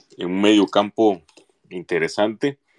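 At a fairly slow pace, a man speaks in a dry, close sound with no echo. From Jalisco, Mexico (Autlán de la Grana). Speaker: football fan commentator. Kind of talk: casual chat.

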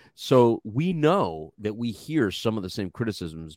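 A man with an American accent speaks at a moderate pace in a fairly low voice, his animated tone marked by very wide pitch swings, recorded with a dry, close sound and no echo. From Texas. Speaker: co-host. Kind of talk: casual chat. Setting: live online stream. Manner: animated, joking.

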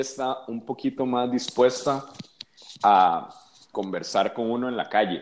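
A man talks at a medium pitch and a fairly slow pace. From Costa Rica. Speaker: musician. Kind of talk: casual chat.

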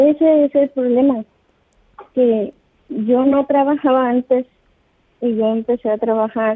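Her high-pitched voice moves at a fairly slow pace with long, frequent pauses, as the woman keeps her loudness very even and her intonation fairly even. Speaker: caller. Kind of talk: phone call advice. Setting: phone call. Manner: hesitant. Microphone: too far from the phone.

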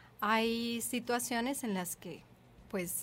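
With a fairly high pitch, a woman speaks at a very slow pace. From another Latin American country. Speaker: doula. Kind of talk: casual chat. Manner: halting, repeats words.

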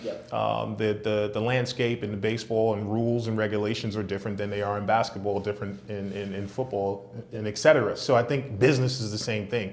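A man with an American accent, fairly low-pitched, at a fairly quick pace with hardly any pauses, fairly even intonation, audible room echo and noticeable background noise. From New York City, Brooklyn. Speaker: sales executive and entrepreneur. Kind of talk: interview.

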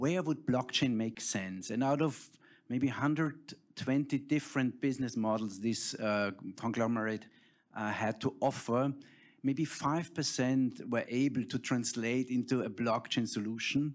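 A man speaks with a German accent at medium pitch and a fairly slow pace, on a very clean recording with a silent background. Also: ordinary pitch variation. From Austria. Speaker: tech company founder. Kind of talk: panel discussion.

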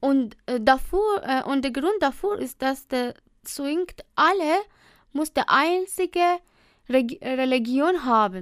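A woman with a high pitch speaks at a very slow pace with lively intonation. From Iran. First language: Persian (speaking German). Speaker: trainee dental assistant. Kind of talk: interview. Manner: halting.

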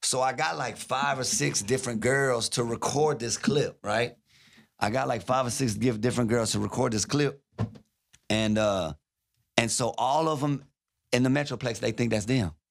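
This is a man talking with vocal fry. He keeps a moderate pace. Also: medium pitch for a man, ordinary pitch variation. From Louisiana (Baton Rouge). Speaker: radio DJ. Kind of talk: casual chat. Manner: animated.

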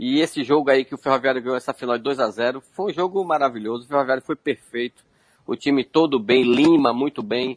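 At a fairly quick pace, a man with an ordinary speaking voice and a medium pitch that varies in an ordinary way is heard in a dry, close sound with no echo. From Feira de Santana, Bahia, Brazil. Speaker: retired footballer. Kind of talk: interview.

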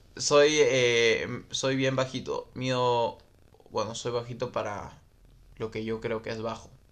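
Speaking very slowly in a flat monotone, a man with a Peruvian accent holds a medium pitch. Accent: Peruvian Spanish (Lima). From Peru, Lima. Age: 20s. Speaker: motocross racer and podcast host. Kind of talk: casual livestream chat reading viewer comments. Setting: Facebook live stream recorded as podcast, home microphone.

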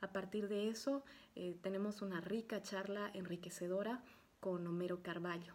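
A somewhat breathy woman's voice at medium pitch, fairly slow pace, ordinary pitch variation. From Bolivia. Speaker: podcast host. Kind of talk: interview.

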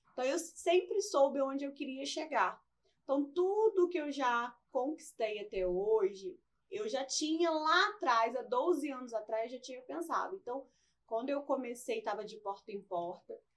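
A woman's high voice moves in very wide pitch swings and big swings in loudness at a fairly slow pace. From Brazil, Barra Mansa (Rio de Janeiro state). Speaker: entrepreneur and beautician. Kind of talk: podcast interview.

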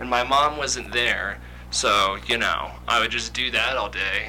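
Speaking at a fairly slow pace with an American accent, a man with a fairly low pitch makes very wide pitch swings amid noticeable background noise. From Kansas. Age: 20s. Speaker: aspiring comedian. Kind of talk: casual chat.

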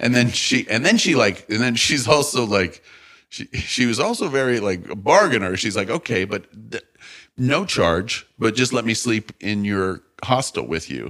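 A man talks with an American accent at a moderate pace. His medium-pitched voice has a bright, sharp tone and lively intonation. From US Midwest (St. Louis). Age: 40s. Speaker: comedian. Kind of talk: casual chat.

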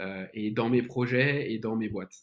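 At a moderate pace, a man with an ordinary speaking voice talks at a medium pitch with fairly even intonation. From France, Lyon. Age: 20s. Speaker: entrepreneur. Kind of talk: casual interview.

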